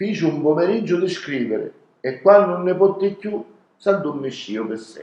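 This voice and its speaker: A man's high-pitched voice with lively intonation, big swings in loudness and a moderate pace. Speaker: storyteller. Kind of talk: dialect story reading.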